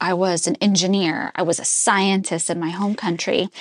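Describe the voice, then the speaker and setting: An unremarkable speaking voice at a moderate pace, with a dry, close sound with no echo and a quiet background. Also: woman. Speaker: podcast interviewer. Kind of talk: casual interview.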